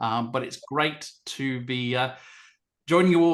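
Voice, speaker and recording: A man with an Australian accent speaks fairly slowly in an enthusiastic tone. His pitch is medium with ordinary variation, over a quiet background. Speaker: event host and communications consultant. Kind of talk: online event facilitation.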